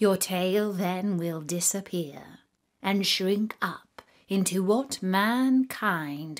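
Quiet background behind a natural reading voice

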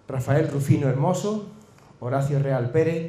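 A man speaks at a medium pitch and a fairly slow pace, his tone dark and mellow with ordinary pitch variation, in a room with strong echo.

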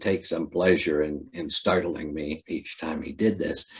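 A man with an American accent, somewhat breathy, at a fairly slow pace. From Ohio. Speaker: poet; poet at a festival reading. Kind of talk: poetry reading; poetry reading and anecdote. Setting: video call. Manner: halting. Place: home room. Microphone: webcam.

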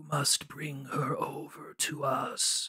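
A raspy put-on character voice from a man, delivered very slowly

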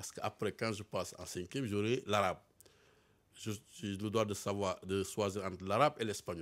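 The voice belongs to a man with a fairly low pitch. He speaks at a moderate pace. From Senegal (Dakar); Senegal. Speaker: former footballer, football pundit; football pundit. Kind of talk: casual interview chat. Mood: cheerful, amused. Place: studio. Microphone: studio mic.

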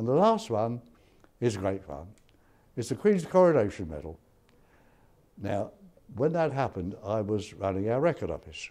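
A man with a dark, mellow tone speaks at a moderate pace, his pitch swinging very widely and his speech broken by long, frequent pauses. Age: 90s. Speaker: war veteran. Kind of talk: interview testimony. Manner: halting. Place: hall. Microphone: lapel.

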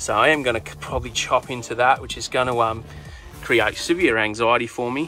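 Faint music plays in the background as a man talks at a moderate pace with ordinary pitch variation, the sound dry with no echo. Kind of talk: casual vlog chat. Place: car. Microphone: phone near.

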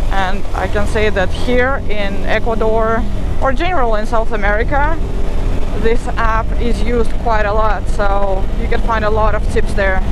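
Noticeable background noise sits under a moderate pace, with a dry sound that has no echo. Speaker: motorcycle travel vlogger. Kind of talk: casual vlog chat. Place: motorbike.

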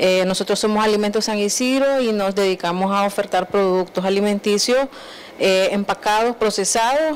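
At a moderate pace, a woman speaks with ordinary pitch variation and very even loudness over light background noise. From Nicaragua. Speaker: small food business owner. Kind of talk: TV interview. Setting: TV studio. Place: studio. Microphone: handheld.

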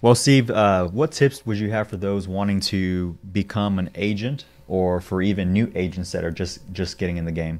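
The speaker uses an ordinary speaking voice with ordinary pitch variation. The pace is moderate, with hardly any pauses. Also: man, fairly low pitch for a man. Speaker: podcast co-host. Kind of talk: casual interview. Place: studio. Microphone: studio mic.

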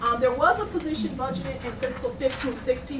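A woman speaks very fast at a fairly high pitch with ordinary variation. There is audible room echo and noticeable background noise. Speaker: city finance and budget director. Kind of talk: budget presentation at council meeting. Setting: city council meeting. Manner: hesitant, many fillers.

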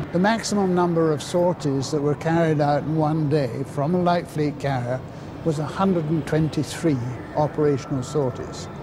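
Against noticeable background noise, a man talks at a fairly high pitch with fairly even intonation. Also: fairly slow pace, very even loudness. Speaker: former naval pilot. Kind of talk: recorded interview recollection. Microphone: lapel.

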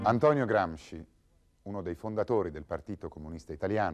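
This man's fairly low voice moves through very wide pitch swings. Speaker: documentary narrator. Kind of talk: scripted historical documentary narration, measured and authoritative. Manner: formal; steady, even-paced, didactic. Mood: serious, measured. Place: studio.

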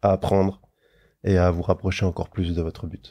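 Against a quiet background, a man with a very deep, low pitch and a dark, mellow, somewhat breathy tone speaks at a fairly quick pace in a monotone, flat intonation. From Luxembourg, later France. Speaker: actor. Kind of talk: casual interview. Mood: calm, encouraging. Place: studio. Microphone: studio mic.

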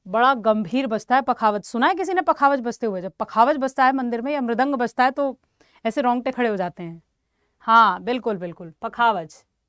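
Lively intonation and an animated tone at a moderate pace, in a dry, close sound with no echo. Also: woman, high pitch for a woman. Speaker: music teacher. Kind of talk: online exam-prep class.

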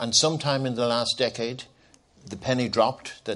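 A man with an Irish accent at a moderate pace, with ordinary pitch variation. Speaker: former anti-hunger charity CEO. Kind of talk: panel discussion. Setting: conference stage with audience.

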